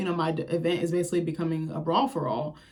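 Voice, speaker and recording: Over noticeable background noise, a woman with a fairly low pitch talks at a very fast pace in an animated tone. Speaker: TV recap youtuber. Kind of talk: casual commentary.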